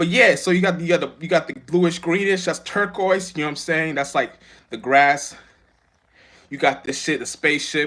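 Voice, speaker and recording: The voice has a bright, sharp tone with ordinary pitch variation at a moderate pace. The recording is very clean, with a silent background. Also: man, high pitch for a man. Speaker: spiritual vlogger. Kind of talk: casual monologue. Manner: stuttering, halting.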